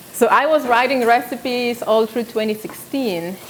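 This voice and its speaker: A woman with a non-native accent, at a moderate pace. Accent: foreign. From South Sudan. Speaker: cooking show host. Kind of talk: live cooking demonstration. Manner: casual, hesitant with fillers.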